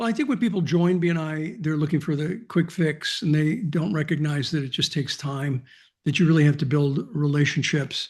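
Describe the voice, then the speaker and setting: With an ordinary speaking voice, this man moves along at a fairly quick pace, his fairly high pitch rising and falling in an ordinary way. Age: 60s. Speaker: business networking organization founder. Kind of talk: interview.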